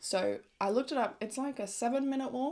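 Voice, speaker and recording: A woman with an Australian accent speaks in an animated tone at a fairly quick pace. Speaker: travel vlogger. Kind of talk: casual vlog chat.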